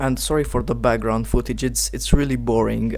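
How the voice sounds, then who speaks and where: Audible room echo and noticeable background noise accompany a man speaking at a moderate pace. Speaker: gaming youtuber. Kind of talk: unscripted video commentary. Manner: halting, stuttering.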